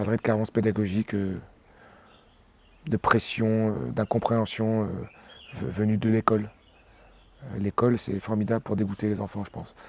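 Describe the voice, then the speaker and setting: A man with a Réunion accent speaks at a moderate pace and fairly low pitch, with fairly even intonation and long, frequent pauses, in a dry, close sound with no echo. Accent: Réunionese French. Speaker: singer. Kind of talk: interview. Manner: halting, many hesitations.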